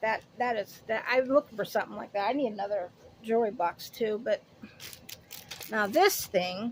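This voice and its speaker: Against noticeable background noise, a woman with a fairly high voice speaks at a moderate pace, with long, frequent pauses, big swings in loudness and ordinary pitch variation. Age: 50s. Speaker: haul video vlogger. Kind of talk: casual product haul chat. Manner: rambling, self-correcting.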